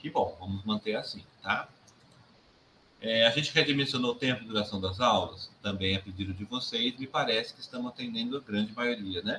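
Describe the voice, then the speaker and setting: A man speaks in a medium pitch with ordinary pitch variation. His loudness swings widely. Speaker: university lecturer. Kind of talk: recorded course feedback talk to students. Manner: fast; casual, conversational.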